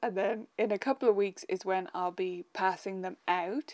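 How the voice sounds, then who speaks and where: The speech moves at a fairly slow pace with ordinary pitch variation. Behind it, the background is quiet. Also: woman. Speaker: piano teacher. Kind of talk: casual live stream chat. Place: home room.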